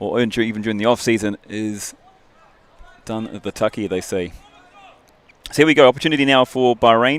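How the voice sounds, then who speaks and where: Heard dry and close with no echo, a man with a New Zealand accent speaks fairly quickly at a medium pitch with ordinary pitch variation. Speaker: rugby commentator. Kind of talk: live commentary.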